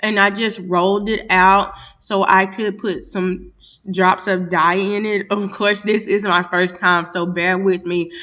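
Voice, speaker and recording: A woman speaks with hardly any pauses. Her tone is bright and sharp, her intonation flat and monotone. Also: medium pitch for a woman, fairly slow pace. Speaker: lifestyle vlogger. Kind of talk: vlog voiceover narration. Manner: casual, occasional stumbles.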